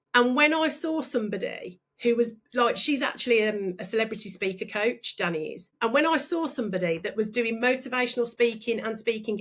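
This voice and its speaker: A woman with a fairly high pitch speaks in an animated tone. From Birmingham, England. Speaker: business coach and speaker. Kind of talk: interview. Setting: podcast.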